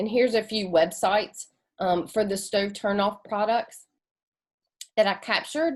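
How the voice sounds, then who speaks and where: A woman's medium-pitched voice with a North Carolina accent, lively intonation and a moderate pace. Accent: Southern US (North Carolina). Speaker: community engagement coordinator presenting. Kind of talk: presentation. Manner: halting, filler words.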